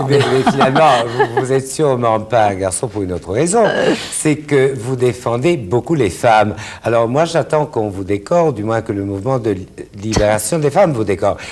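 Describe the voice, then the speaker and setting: Against noticeable background noise, a man talks at a moderate pace with medium pitch and lively intonation. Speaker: TV talk show host. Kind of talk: TV interview questions.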